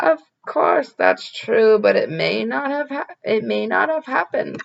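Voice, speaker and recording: Raspy and put-on, a woman's character voice moves at a moderate pace. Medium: read story. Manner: warm, teasing.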